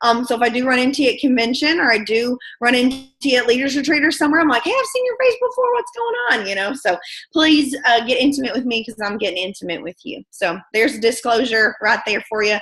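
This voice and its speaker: Talking at a fairly quick clip, a woman uses a high-pitched voice with a bright, sharp tone. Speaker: network marketing team leader. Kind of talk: motivational team training call. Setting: video call, standing in her kitchen. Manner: fast.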